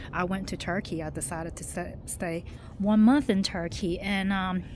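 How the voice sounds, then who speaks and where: Speaking at a moderate pace with an American accent, a woman uses a fairly low pitch, vocal fry and ordinary pitch variation. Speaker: expat. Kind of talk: casual storytelling to camera. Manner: conversational, hesitant with fillers.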